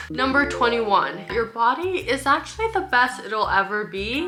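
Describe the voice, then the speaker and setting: Music plays in the background as a woman talks with a Canadian accent. Her pitch is fairly high and her pace moderate. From Canada. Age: 20s. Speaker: lifestyle vlogger. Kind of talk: casual talk to camera.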